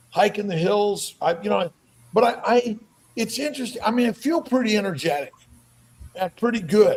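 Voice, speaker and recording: A man with a high pitch and lively intonation speaks at a moderate pace, leaving long, frequent pauses amid noticeable background noise. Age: 70s. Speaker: doctor and podcast host. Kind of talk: casual chat. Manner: halting, with repeated words.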